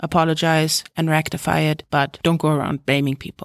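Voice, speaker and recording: Recorded very cleanly with a silent background and a dry, close sound with no echo, a woman speaks at a moderate pace. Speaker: career advice podcast host. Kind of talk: solo podcast monologue. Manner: loud.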